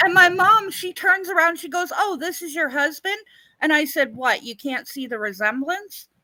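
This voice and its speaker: A woman in a raised, projected voice at an extremely high pitch, lively intonation, big swings in loudness and a moderate pace. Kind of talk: casual chat. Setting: live stream.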